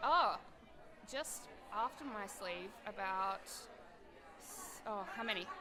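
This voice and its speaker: Speaking very slowly in an Australian accent, a woman with a medium pitch is heard amid audible room echo and noticeable background noise. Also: lively intonation, big swings in loudness. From Australia, Adelaide. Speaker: weight loss surgery patient, event volunteer. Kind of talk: casual interview. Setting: live at a party meetup.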